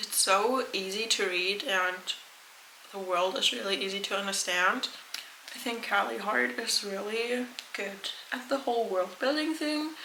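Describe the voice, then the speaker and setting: Lively intonation marks a woman's medium-pitched voice at a fairly slow pace. The room echo is audible, and there is noticeable background noise. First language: not English. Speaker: book vlogger. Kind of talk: casual vlog talk.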